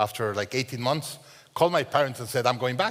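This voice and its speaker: Here a man speaks at medium pitch. His pitch variation is ordinary. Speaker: entrepreneur, business CEO. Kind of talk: podcast interview.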